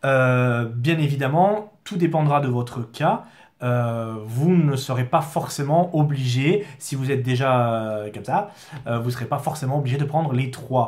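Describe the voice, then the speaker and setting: A man speaks in a somewhat breathy voice. His pitch variation is ordinary. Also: medium pitch for a man. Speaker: product distributor. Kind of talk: product explainer video. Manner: halting, many fillers.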